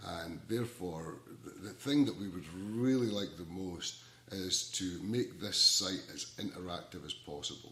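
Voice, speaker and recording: With audible room echo, a man speaks at a moderate pace in a very deep, low pitch with ordinary pitch variation and a bright, sharp tone. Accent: Scottish. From Scotland. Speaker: ukulele community organizer. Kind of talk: casual talk to camera. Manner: halting, many repeated words.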